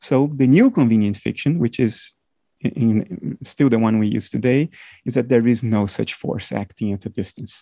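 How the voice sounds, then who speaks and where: A man with a non-native accent and a dark, mellow tone is heard in a dry, close sound with no echo. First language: not English. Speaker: philosopher and computer scientist. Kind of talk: interview. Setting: remote call.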